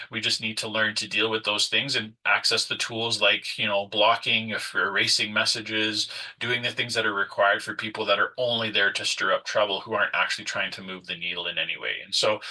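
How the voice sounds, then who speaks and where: The man's delivery is fairly quick. Pauses are hardly there at all. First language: French. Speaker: nonprofit leader and consultant. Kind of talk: workshop presentation. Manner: hesitant, many fillers.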